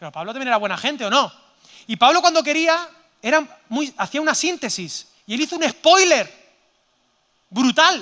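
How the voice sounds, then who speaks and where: A man speaks at a fairly quick pace in an animated tone with lively intonation. His tone is bright and sharp. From Spain, Zaragoza (Aragon). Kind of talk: sermon-style conference talk. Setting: stage with audience. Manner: animated, interactive with audience.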